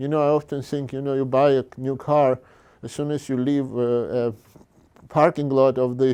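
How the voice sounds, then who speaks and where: Against a quiet background, a man talks at a moderate pace. His tone is dark and mellow. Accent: Georgian. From Georgia (country). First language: Georgian. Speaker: fine artist. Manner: halting.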